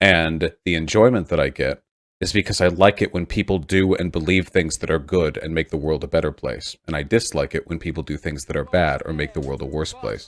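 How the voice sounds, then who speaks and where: A man's very deep, low voice with vocal fry and ordinary pitch variation, dry and close with no echo, on a very clean recording with a silent background. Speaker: political streamer. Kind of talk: heated debate. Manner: fast; aggressive, combative.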